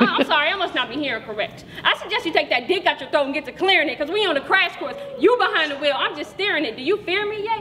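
A woman shouts in a furious tone, her raised, projected voice extremely high and swinging very widely in pitch at a very fast pace over light background noise. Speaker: slam poet. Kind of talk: spoken word poetry slam performance. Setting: stage with audience. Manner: rhythmic, rhyme-driven delivery building from flirtatious to furious; confrontational, profane, defiant kiss-off tone. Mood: angry, scornful. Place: hall. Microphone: camera far.

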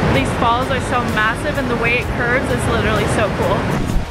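A woman speaks with music in the background. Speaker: travel vlogger. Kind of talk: casual vlog chat. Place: waterside. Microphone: phone near.

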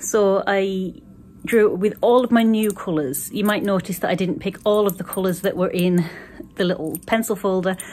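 A woman is talking. Her pace is moderate. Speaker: art vlogger. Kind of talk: casual vlog chat. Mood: cheerful, pleased. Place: shop. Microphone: phone near.

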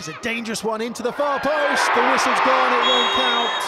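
Over noticeable background noise, a man speaks in a raised, projected voice with an animated tone and an extremely high pitch. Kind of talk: live sports commentary. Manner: fast, animated play-by-play delivery; urgent, excitable at near-misses.

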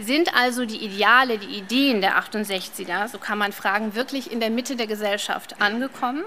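There is light background noise as a woman talks at a moderate pace. Her fairly high voice keeps fairly even intonation. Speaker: head of university general studies program. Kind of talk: welcome speech. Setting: lecture hall with audience. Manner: formal. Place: hall. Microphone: podium.

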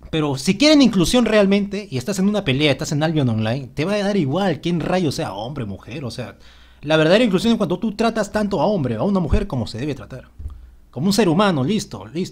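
This man speaks at a very fast pace in a fairly high pitch. Vocal fry runs through his voice, and his pitch swings very widely. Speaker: gaming youtuber. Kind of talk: game patch notes commentary.

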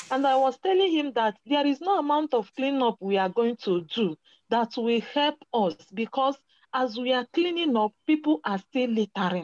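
A woman speaks at a high pitch and a moderate pace, her pitch swinging very widely while her loudness stays very even. The sound is dry with no echo, against a quiet background. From Nigeria. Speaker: environmental activist. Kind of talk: casual chat. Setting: video call. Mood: frustrated about waste problems. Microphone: video call.

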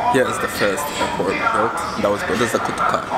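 The voice moves at a fairly quick pace with clear music in the background. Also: man. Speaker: travel vlogger. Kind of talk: casual vlog chat. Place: cafe. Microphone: phone near.

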